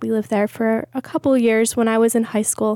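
A plain, everyday voice from a woman with an American accent, fairly high in pitch, with fairly even intonation and a fairly quick pace, on a very clean recording with a silent background and a dry, close sound with no echo. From USA, military family moving around. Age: 30s. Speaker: church member sharing testimony. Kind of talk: testimony.

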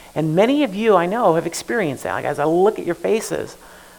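A man with an American accent talks at a moderate pace with lively intonation, and there is noticeable background noise. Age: 40s. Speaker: pastor. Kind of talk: sermon. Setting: church. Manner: halting.

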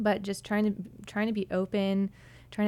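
A woman with an ordinary speaking voice and an American accent, medium pitch, and a fairly slow pace. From New Hampshire, US. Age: 20s. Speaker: church worship leader. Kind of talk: interview.

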